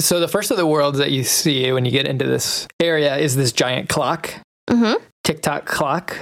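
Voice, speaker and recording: Here a man has a normal speaking voice at a fairly high pitch, with ordinary pitch variation, a moderate pace and very even loudness. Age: 30s. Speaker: podcast host. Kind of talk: casual chat. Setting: video call.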